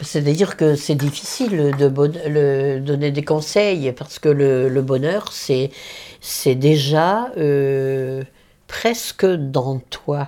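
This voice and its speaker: Very slowly, a woman speaks in a very deep, low pitch with a dark, mellow tone. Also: ordinary pitch variation. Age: 90s. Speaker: elderly interviewee. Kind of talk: interview. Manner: halting.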